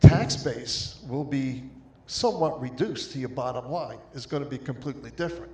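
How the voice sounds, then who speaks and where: The pace is fairly slow. Noticeable background noise and audible room echo are present. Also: man. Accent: American. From Long Island, New York. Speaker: resident speaking at town hall. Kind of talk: public comment at town hall. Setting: town hall meeting with mic. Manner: somewhat quiet.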